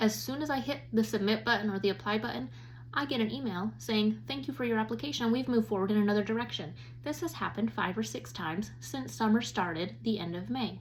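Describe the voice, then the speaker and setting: This woman has a fairly low pitch that swings very widely. She speaks at a very fast pace. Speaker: women's Bible study teacher. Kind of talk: Bible lesson. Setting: recorded at home.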